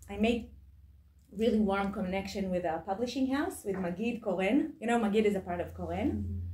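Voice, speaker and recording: A woman with an Israeli accent speaks at a medium pitch with vocal fry. Her pace is moderate. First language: Hebrew. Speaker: author and book editor. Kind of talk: lecture. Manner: halting.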